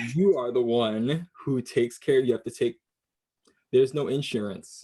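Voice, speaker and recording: A man's dark, mellow voice at a medium pitch, with ordinary pitch variation and a moderate pace. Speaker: multidisciplinary artist. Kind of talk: casual podcast conversation.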